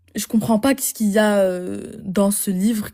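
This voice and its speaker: A somewhat breathy, dark and mellow voice at a fairly slow pace with fairly even intonation. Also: woman. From Flemish Belgium. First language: Dutch (speaking French). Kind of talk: online debate with a stranger. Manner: hesitant.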